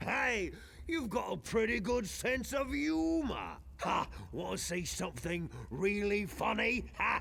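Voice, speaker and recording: Over clear background noise, a man puts on a character voice and talks at a fairly slow pace. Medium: video game. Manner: gruff, hearty laughter.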